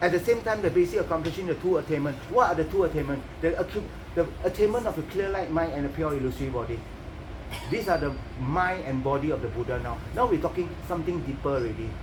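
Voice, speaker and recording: Over noticeable background noise, a man talks at a very fast pace. His pitch is fairly high and his intonation lively. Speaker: Buddhist teacher. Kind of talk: dharma teaching.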